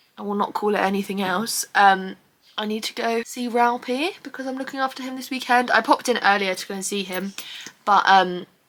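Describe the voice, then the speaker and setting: A woman with an English accent talks at a fairly quick pace in a fairly high pitch. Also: ordinary pitch variation. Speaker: vlogger. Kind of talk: casual vlog talk. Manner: animated.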